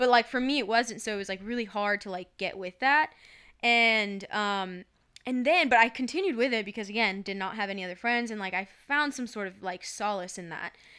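Over a silent background on a very clean recording, a woman with an American accent talks at a fairly quick pace, her fairly high pitch varying in an ordinary way, her tone bright and sharp, and her loudness swinging widely. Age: 20s. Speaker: podcast co-host. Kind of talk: casual chat.

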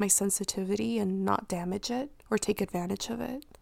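At a moderate pace, a woman speaks with medium pitch and a dark, mellow tone in a very clean recording with a silent background. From Mexico. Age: 20s. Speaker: podcast host. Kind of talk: solo monologue podcast, reflective personal talk. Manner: reflective, earnest.

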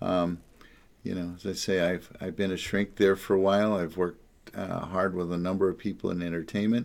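A man's very deep, low voice moves at a moderate pace, recorded very cleanly against a silent background. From New Jersey, Jersey Shore. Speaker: psychotherapist. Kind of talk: casual monologue. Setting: home office.

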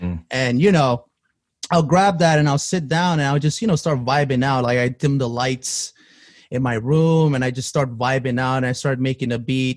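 With an American accent, this plain, everyday voice moves at a moderate pace with ordinary pitch variation, recorded very cleanly against a silent background. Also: man, medium pitch for a man. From Queens, New York. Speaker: music producer. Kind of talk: casual chat.

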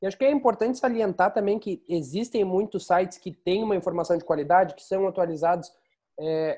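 Over a quiet background, a man talks at a fairly quick pace in a high voice with a dark, mellow tone and ordinary pitch variation. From Rio Grande do Sul, Pelotas. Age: 20s. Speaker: podcast host. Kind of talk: casual chat. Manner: halting.

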